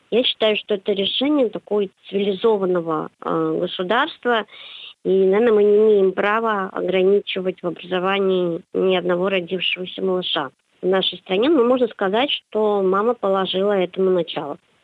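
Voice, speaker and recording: A woman with an unremarkable speaking voice talks at a moderate pace in a medium pitch, using ordinary pitch variation. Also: very even loudness. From St Petersburg, Russia. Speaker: psychologist and university lecturer. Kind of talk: radio interview. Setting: phone call.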